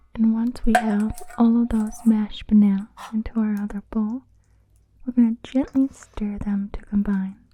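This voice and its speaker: At a moderate pace, a woman with a fairly high pitch and a dark, mellow, somewhat breathy tone keeps fairly even intonation while her loudness swings widely. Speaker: ASMR creator, cooking host. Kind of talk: cooking tutorial ASMR, casual talk to camera. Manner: soft-spoken, relaxing.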